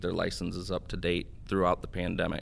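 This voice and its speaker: The speaker talks fairly quickly with an Upper Midwest accent, in a monotone, flat delivery. The recording is very clean with a silent background. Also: man. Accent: Upper Midwest American. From US Midwest, northeast Iowa. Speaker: water association executive. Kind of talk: interview.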